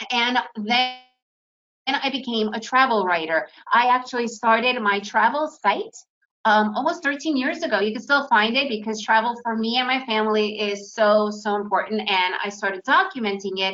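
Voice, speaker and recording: At a moderate pace and with ordinary pitch variation, the speaker uses an American accent. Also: woman, fairly high pitch for a woman. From United States. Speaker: day trader. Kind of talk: webinar presentation. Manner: animated.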